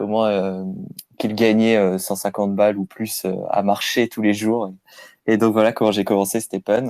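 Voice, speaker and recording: A man's fairly low voice, fairly slow and monotone, with flat intonation. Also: very clean recording, silent background. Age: 30s. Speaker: crypto app user interviewed. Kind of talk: casual interview.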